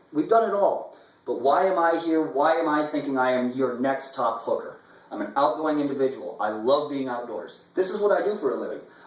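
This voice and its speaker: Amid audible room echo and noticeable background noise, a man with an American accent speaks fairly quickly at a fairly high pitch, his tone animated and his intonation lively. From US Midwest, Omaha, Nebraska. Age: 30s. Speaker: fly fishing guide. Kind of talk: audition video monologue. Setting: indoors, apartment.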